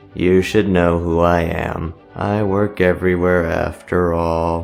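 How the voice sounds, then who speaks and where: Clear music plays behind a man doing a put-on character voice, very deep and low, delivered fairly slowly in a monotone, flat way. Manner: deadpan.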